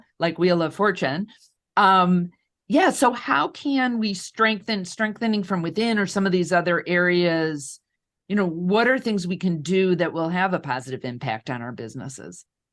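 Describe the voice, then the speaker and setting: A woman with a Midwestern accent, a fairly low pitch and lively intonation, at a moderate pace over a quiet background. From US Midwest. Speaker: podcast host. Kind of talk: interview. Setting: livestream.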